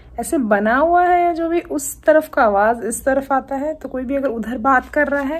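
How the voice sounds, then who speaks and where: A woman talks at a moderate pace in a high pitch. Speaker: travel vlogger. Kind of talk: casual vlog chat. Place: home room. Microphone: phone near.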